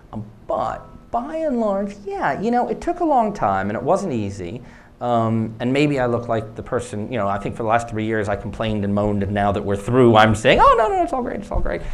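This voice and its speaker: Someone with an American accent speaks at a fairly quick pace, with audible room echo. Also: man. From United States. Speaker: startup CEO and co-founder. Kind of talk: conference Q&A answer.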